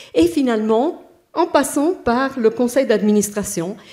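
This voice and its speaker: A woman talks at a very slow pace with lively intonation. Her pitch is fairly high. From Italy. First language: Italian (speaking French). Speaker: bank HR director, panelist. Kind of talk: panel discussion. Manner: halting, many hesitations.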